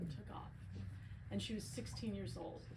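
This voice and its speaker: A woman is heard with audible room echo. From US, Italian-American family. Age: 50s. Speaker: author and filmmaker. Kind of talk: book talk.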